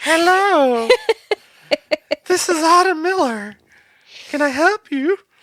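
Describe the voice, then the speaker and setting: A put-on character voice at an extremely high pitch moves at a fairly slow pace, broken by long, frequent pauses. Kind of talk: professional, polite. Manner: chipper, courteous.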